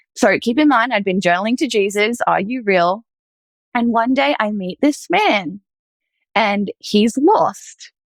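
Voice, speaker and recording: Her pitch fairly high, a woman speaks at a fairly slow pace with lively intonation. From Australia. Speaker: former reiki master sharing faith story. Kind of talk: testimony. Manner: casual, filler-heavy.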